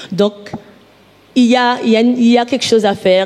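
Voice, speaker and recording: Background noise is clearly audible. The talking goes along fairly quickly. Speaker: audience participant in public debate. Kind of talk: public debate speech. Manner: halting, many repetitions.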